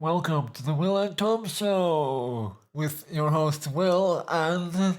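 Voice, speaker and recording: Using a put-on character voice, a man speaks very slowly in a fairly high, nasal tone. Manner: mock radio-host intro.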